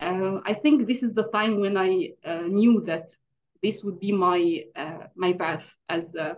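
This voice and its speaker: At a fairly slow pace, a woman with an Arabic accent speaks at a medium pitch with ordinary pitch variation. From Egypt. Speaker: English teacher. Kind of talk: interview. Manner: hesitant, many fillers.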